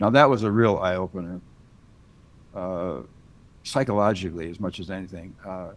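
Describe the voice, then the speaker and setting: Pausing long and often, a man with an American accent and a very deep, low pitch speaks at a moderate pace with ordinary pitch variation and big swings in loudness. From US Midwest, rural Wisconsin. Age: 70s. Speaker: retired military rescue specialist and police officer. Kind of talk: interview. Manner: casual, conversational.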